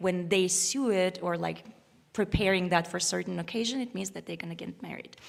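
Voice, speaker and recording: A woman of medium pitch speaks with an Uzbek accent. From Uzbekistan. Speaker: violinist. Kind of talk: spoken introduction to a concert piece. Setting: concert stage with live audience, live-streamed. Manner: halting, many fillers and restarts.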